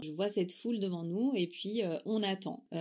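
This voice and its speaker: Speaking fairly slowly, a woman uses an unremarkable speaking voice with ordinary pitch variation. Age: 30s. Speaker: young mother sharing testimony. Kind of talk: testimony.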